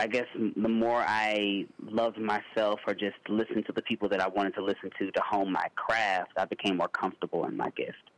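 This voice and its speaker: An unremarkable speaking voice from a man, fairly low in pitch, at a moderate pace with fairly even intonation, in a dry, close sound with no echo. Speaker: singer. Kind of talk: interview.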